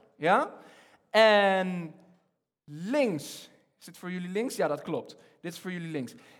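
At a very slow pace with long, frequent pauses, a man speaks at a high pitch and with lively intonation. His loudness swings widely, and audible room echo is present. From Egypt. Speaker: preacher. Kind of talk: sermon. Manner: halting.

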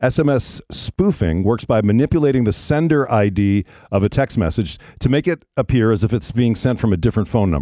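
On a very clean recording with a silent background and a dry, close sound with no echo, a man speaks at a fairly quick pace in a medium pitch and a dark, mellow tone, his pitch swinging very widely while his loudness stays very even. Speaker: radio host. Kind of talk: news story read aloud with banter. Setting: studio.

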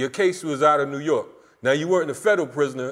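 Using a normal speaking voice, a man speaks at a fairly high pitch and fairly quick pace with fairly even intonation. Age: 50s. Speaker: podcast host. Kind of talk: casual chat.

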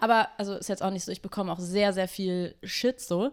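A woman with an ordinary speaking voice talks at a medium pitch and a moderate pace. The recording is very clean, with a silent background. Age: 20s. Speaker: activist and DJ. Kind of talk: casual chat. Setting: host's kitchen.

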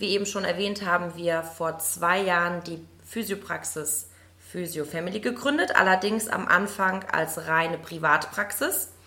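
Noticeable background noise sits behind a woman with a fairly low pitch. She speaks at a fairly slow pace with ordinary pitch variation. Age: 30s. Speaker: physiotherapist and practice owner. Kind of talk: interview. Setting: in person at a fitness studio.

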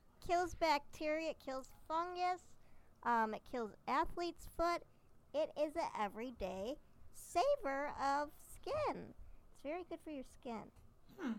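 Speaking at a fairly slow pace with long, frequent pauses, a woman uses a high pitch and very wide pitch swings. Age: 40s. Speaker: podcast co-host. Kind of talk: casual chat.

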